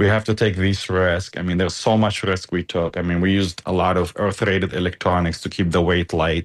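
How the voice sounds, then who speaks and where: A man talks at a fairly quick pace in a very deep, low pitch. His intonation is fairly even, and the background is quiet. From Gaza. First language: Arabic. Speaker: engineer. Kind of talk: interview. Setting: remote call.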